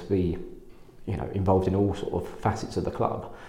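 An English accent at a very fast pace. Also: man. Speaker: podcast host. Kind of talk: casual interview chat.

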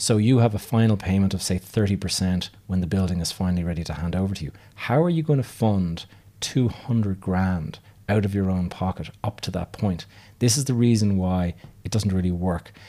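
A man's very deep, low, dark and mellow voice at a fairly quick pace, with ordinary pitch variation, on a very clean recording with a silent background. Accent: Irish. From Ireland. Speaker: podcast host, real estate investor. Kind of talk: solo podcast monologue. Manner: casual, with frequent fillers.

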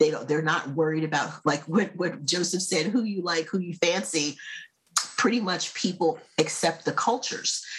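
Speaking with an American accent, the voice keeps a moderate pace and ordinary pitch variation. It sounds somewhat breathy. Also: woman, fairly low pitch for a woman. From United States. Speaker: marketing consultant. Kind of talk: casual chat.

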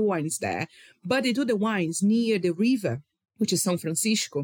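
The speaker has a Brazilian accent and an enthusiastic, passionate tone. The pace is moderate. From Rio de Janeiro, Brazil. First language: Portuguese. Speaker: wine communicator. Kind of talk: casual interview chat.

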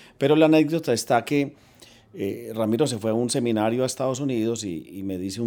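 Lively intonation moves through a voice of dark, mellow tone. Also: man. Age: 50s. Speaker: bank technology executive. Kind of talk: interview.

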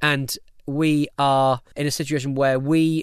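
Over a quiet background, a man speaks at a fairly high pitch. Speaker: podcast producer and radio presenter. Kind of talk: casual interview chat. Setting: home cabin recording. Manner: fast, excitable talker.

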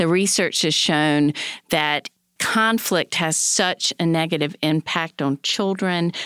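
In a very clean recording with a silent background and a dry, close sound with no echo, a woman with an American accent uses an unremarkable speaking voice, fairly low in pitch, with ordinary pitch variation and a fairly slow pace. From North Carolina. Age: 50s. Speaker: family law attorney and podcast host. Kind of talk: casual chat.

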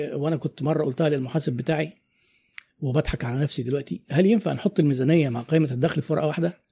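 Very fast, fairly high male voice with a dark, mellow tone on a very clean recording with a silent background. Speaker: business consultant and marketing trainer. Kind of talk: interview conversation.

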